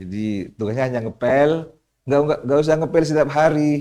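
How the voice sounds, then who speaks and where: This man's voice has a dark, mellow tone and a fairly high pitch. He talks at a moderate pace with ordinary pitch variation. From Madura, East Java, Indonesia. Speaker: Islamic cleric and community leader. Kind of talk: podcast interview. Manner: halting.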